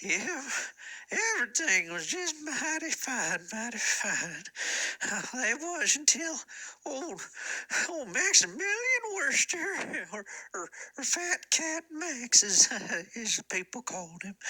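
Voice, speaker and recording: A man puts on a character voice at an extremely high pitch. He talks at a fairly slow pace with long, frequent pauses. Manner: halting, rambling.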